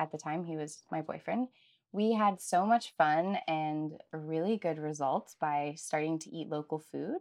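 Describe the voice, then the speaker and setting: A woman with an American accent speaks at a fairly slow pace with a fairly low pitch and ordinary pitch variation. She has an unremarkable speaking voice, and the background is quiet. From United States. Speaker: nutritional therapist. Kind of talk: casual interview chat.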